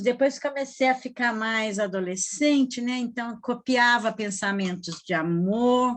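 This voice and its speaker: Against a quiet background, a woman with a high pitch talks at a fairly slow pace with hardly any pauses and ordinary pitch variation. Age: 70s. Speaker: retired teacher, writer. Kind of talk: personal storytelling in group chat.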